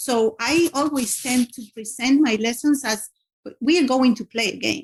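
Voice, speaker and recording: A woman's high voice, moderately paced, with ordinary pitch variation. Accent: non-native. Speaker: teacher. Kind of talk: interview. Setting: podcast. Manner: halting, many fillers and restarts.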